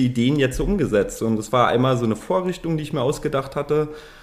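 A man with an ordinary speaking voice and ordinary pitch variation. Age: 30s. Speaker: 3D printing service provider, company director. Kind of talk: casual chat.

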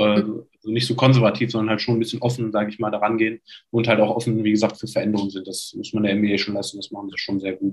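A man races along at a very fast pace, his fairly low voice staying fairly even in intonation. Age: 20s. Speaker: basketball player. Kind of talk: casual chat.

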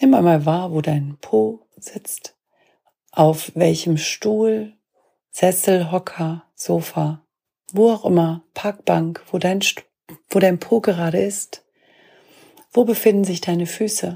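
Her pitch fairly low and her tone dark and mellow, a woman speaks at a very slow pace with long, frequent pauses. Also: ordinary pitch variation. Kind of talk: guided meditation. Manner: slow, calm, soothing, with long pauses; gentle, warm, reassuring.

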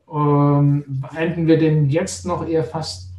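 Very slowly, a man speaks in a fairly high register. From Palatinate, Germany (Neustadt an der Weinstraße). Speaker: organic winemaker. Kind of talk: casual chat.

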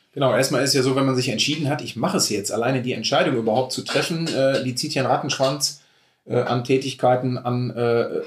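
A man speaks at a fairly quick pace with a medium pitch. His voice is somewhat breathy, and his intonation stays fairly even. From Germany, Sauerland (Schmallenberg). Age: 30s. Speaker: mustard maker and emergency doctor. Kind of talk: interview.

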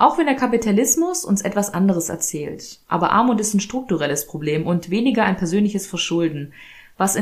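A woman speaks at a medium pitch with a somewhat breathy voice. Her pace is fairly quick and her intonation lively. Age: 30s. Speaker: podcast host. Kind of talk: solo monologue.

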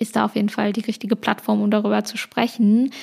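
A woman speaks at a fairly high pitch and a fairly quick pace. Her voice is somewhat breathy. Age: 20s. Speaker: podcast host. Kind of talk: casual monologue. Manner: fast.

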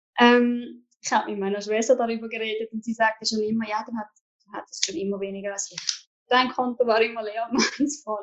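A woman with a Swiss German accent and a fairly high pitch speaks at a fairly quick pace, her intonation fairly even and her loudness swinging widely. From Switzerland. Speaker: coaching client, massage therapist and farmer. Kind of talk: coaching session.

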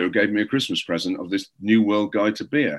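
A man with a Welsh accent talks at a fairly quick pace in a fairly low voice. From North Wales. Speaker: beer writer and judge. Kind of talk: casual chat.

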